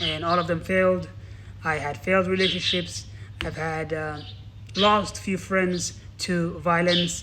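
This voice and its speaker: Audible room echo surrounds a man whose high, bright, sharp voice moves at a fairly slow pace with ordinary pitch variation. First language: not English. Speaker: motivational speaker. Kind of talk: motivational talk. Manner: halting.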